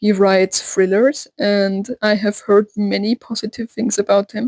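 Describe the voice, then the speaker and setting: Dry and close with no echo, the recording carries a woman's flat, monotone delivery in a dark, mellow tone. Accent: German. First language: German. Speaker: book vlogger. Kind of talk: casual vlog talk. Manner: hesitant with fillers.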